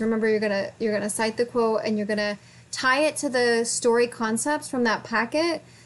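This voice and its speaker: Mumbling at a fairly quick pace, a woman speaks with a fairly high pitch and fairly even intonation. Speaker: college writing instructor. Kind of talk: lecture. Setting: recorded video for online course. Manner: fast.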